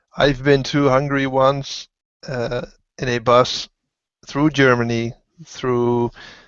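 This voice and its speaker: Speaking at a very slow pace with a Dutch accent, a man keeps a medium pitch and fairly even intonation. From Netherlands. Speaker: motovlogger. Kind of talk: casual chat. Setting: video call. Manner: halting.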